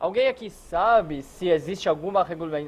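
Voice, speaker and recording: With ordinary pitch variation, the man's voice sits high. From Israel. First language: non-native Portuguese speaker, from Israel (speaking Portuguese). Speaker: hotel security consultant. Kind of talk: lecture. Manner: halting, many filler words.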